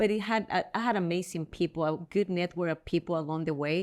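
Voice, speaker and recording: A woman with a strong Spanish accent talks fairly quickly at a fairly low pitch, her intonation fairly even. The recording is very clean, with a silent background. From El Salvador. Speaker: real estate agent. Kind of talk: interview.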